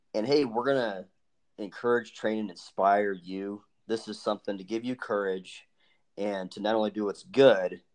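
This man has a plain, everyday voice, a fairly low pitch, fairly even intonation and a moderate pace. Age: 30s. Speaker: podcast host. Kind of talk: casual chat.

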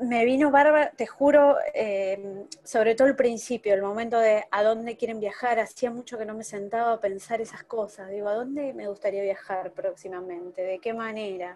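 Hardly pausing, a woman talks at a moderate pace in a fairly high voice whose pitch varies in an ordinary way. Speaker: workshop participant. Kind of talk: personal sharing in workshop. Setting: video call without camera.

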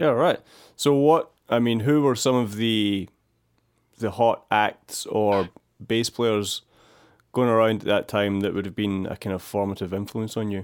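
A man with a Glasgow accent speaks at a medium pitch. His pace is fairly slow and his pitch variation ordinary. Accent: Scottish (Glasgow). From Scotland, near Glasgow. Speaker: podcast host, bass teacher. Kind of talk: interview. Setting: video call. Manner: hesitant with many fillers.

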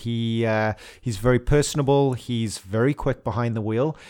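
A man with an ordinary speaking voice, at a fairly slow pace with ordinary pitch variation, in a very clean recording with a silent background. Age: 30s. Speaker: racing driver. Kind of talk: interview. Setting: studio.

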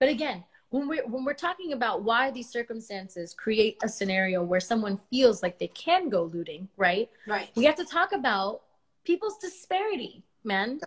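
Her pitch fairly high and swinging very widely, a woman speaks at a moderate pace. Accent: American. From US, Miami (Cuban American). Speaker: livestream host. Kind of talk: casual conversation on a livestream.

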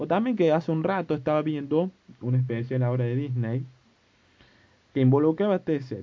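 A man with a fairly high pitch talks at a fairly quick pace with ordinary pitch variation. He leaves long, frequent pauses. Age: 20s. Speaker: podcast host. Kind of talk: casual monologue.

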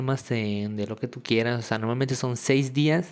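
Using a Mexican accent, a man talks at a medium pitch and a moderate pace with ordinary pitch variation. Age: young. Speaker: podcaster. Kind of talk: casual monologue. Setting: at home in kitchen. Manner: halting.

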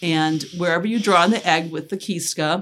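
This is a plain, everyday voice at a moderate pace with ordinary pitch variation. The recording is very clean, with a silent background. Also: woman. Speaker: pysanky egg artist, grandmother. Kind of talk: casual family interview.

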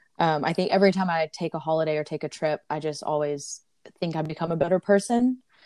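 Over a quiet background, a woman speaks very fast with a dry, close sound and no echo. Her fairly low voice has a dark, mellow tone and ordinary pitch variation. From US South, Auburn, Alabama. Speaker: traveler and corporate professional. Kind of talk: interview.

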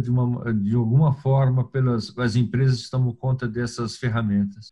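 Speaking at a moderate pace, a man with a medium pitch has a dark, mellow tone that is somewhat breathy. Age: 60s. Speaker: sports journalist. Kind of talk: interview.

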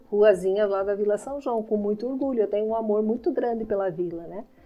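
The pitch varies in an ordinary way. Music plays in the background. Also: woman. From Brazil, Paraná (Irati). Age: 60s. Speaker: lawyer and deputy mayor. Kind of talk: interview.

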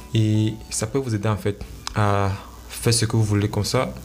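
Through noticeable background noise comes a man with a fairly low pitch and fairly even intonation. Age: young. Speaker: entrepreneur and blogger podcaster. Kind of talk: motivational solo talk. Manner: halting.

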